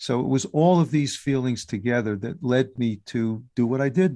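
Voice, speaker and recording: Against a quiet background, a man speaks at a moderate pace with a medium pitch, ordinary pitch variation and a dark, mellow tone. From US Northeast, New York City. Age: 60s. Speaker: musician and podcaster. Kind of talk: interview.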